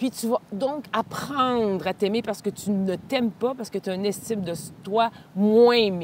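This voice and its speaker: Speaking fairly slowly in a Quebec accent, a woman uses ordinary pitch variation over noticeable background noise. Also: fairly high pitch for a woman. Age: 60s. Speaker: speaker and cancer survivor. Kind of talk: casual interview. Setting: outdoors on a walk.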